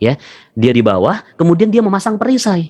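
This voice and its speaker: High pitch from a man at a moderate pace, in a dry, close sound with no echo. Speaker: motivational religious speaker. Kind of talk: motivational seminar talk. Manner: repetitive, call-and-response. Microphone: voice reportedly quiet for some listeners.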